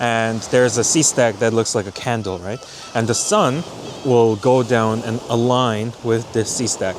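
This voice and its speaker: A man talks at a fairly slow pace, his medium-pitched voice keeping a fairly even intonation. Noticeable background noise runs underneath. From Korea. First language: Korean. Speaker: landscape photographer. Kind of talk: casual vlog narration. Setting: outdoors on a beach.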